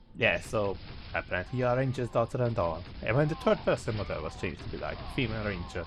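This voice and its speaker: A man at medium pitch with lively intonation and a very fast pace, music in the background. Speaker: game reviewer. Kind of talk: video game commentary narration.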